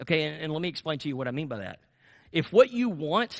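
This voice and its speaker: In an American accent, a man talks at a very fast pace with an animated tone against a quiet background. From US South. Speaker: pastor. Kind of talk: sermon. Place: church.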